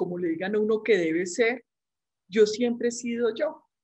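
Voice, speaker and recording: A woman speaks with a Medellín accent. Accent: Medellín paisa, persisted. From Colombia, Medellín (paisa). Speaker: medical school professor. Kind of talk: interview. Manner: chatty.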